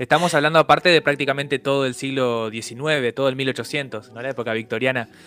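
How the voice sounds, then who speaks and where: With an unremarkable speaking voice at medium pitch, a man talks at a fairly quick pace with hardly any pauses and fairly even intonation, his loudness swinging widely in a dry, close sound with no echo. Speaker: radio host. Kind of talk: casual chat.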